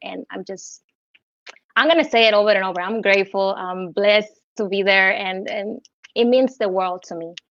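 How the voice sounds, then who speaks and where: A woman speaks at a medium pitch. She has a Cuban accent. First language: Spanish. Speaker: singer. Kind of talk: interview. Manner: hesitant, many fillers.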